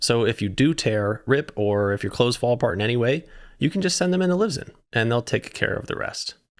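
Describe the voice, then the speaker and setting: In a very clean recording with a silent background, a man with a plain, everyday voice talks at a fairly quick pace, medium in pitch with lively intonation. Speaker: podcast host. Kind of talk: podcast sponsor read.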